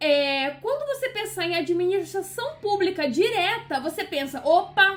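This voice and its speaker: Speaking at an extremely high pitch, a woman with a Carioca accent makes very wide pitch swings. Her pace is fairly slow, with hardly any pauses. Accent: carioca accent, still noticeable. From Brazil, Rio de Janeiro. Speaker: law teacher. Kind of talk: lecture. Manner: casual, conversational with fillers.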